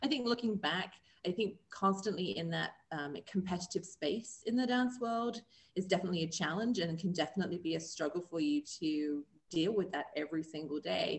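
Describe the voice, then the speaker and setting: The speaker talks at a fairly quick pace with a somewhat breathy voice. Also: woman, medium pitch for a woman. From England. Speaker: magazine co-owner and former professional dancer. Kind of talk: interview.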